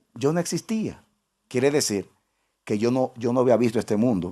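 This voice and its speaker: A man's medium-pitched voice with a dark, mellow tone, vocal fry and very wide pitch swings, at a moderate pace over a quiet background. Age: 60s. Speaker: pastor. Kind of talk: sermon. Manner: repetitive, halting restarts.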